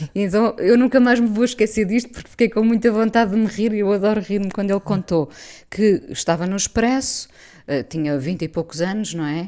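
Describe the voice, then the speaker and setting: A woman's medium-pitched voice with a dark, mellow tone, ordinary pitch variation and a fairly quick pace, on a very clean recording with a silent background. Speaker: radio host. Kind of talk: radio interview.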